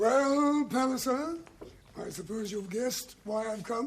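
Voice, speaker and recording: A man puts on a character voice at an extremely high pitch. He goes at a fairly slow pace with ordinary pitch variation. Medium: short film.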